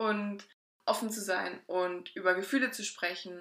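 Speaking at a very slow pace, a woman has a medium pitch, a bright, sharp tone, and ordinary pitch variation. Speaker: podcast co-host. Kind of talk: casual chat.

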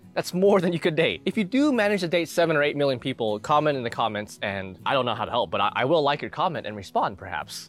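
Speaking at a very fast pace with hardly any pauses, a man uses very wide pitch swings, vocal fry and a fairly high pitch. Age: 20s. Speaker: fitness youtuber. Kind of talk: casual monologue.

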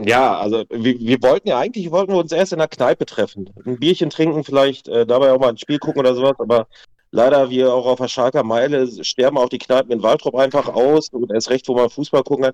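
A man has an unremarkable speaking voice at a medium pitch with ordinary pitch variation. The sound is dry and close, with no echo. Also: fairly quick pace. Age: 30s. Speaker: football fan club president. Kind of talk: casual chat.

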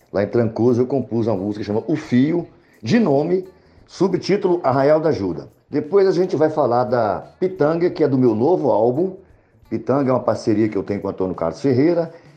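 A man with a fairly high pitch at a fairly quick pace, with very wide pitch swings. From Brazil, Montes Claros, northern Minas Gerais. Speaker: singer-songwriter. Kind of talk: interview.

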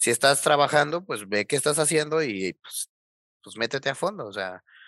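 A man's fairly high, bright and sharp voice with lively intonation at a moderate pace, dry and close with no echo over a quiet background. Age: 20s. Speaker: electronics engineer, hardware developer. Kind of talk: casual interview.

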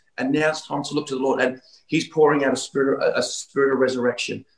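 Animated in tone, a man with an Australian accent speaks very fast in a fairly high pitch. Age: 50s. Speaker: pastor. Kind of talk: revivalist preaching and prophetic decree in an online healing meeting. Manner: animated, urgent exhortation with repeated 'Come on' interjections; fast, run-on delivery with stumbling repeats.

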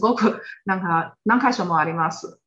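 A woman speaks with a Chinese accent. Her pace is moderate. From China, Xinjiang. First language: Chinese (speaking Japanese). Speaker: guest. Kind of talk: casual chat. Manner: halting.

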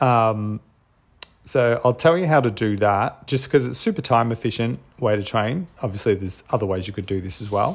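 In an Australian accent, a man talks at a moderate pace with a medium pitch and ordinary pitch variation. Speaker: podcast host and strength coach. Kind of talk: solo podcast monologue. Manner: casual with frequent filler words.

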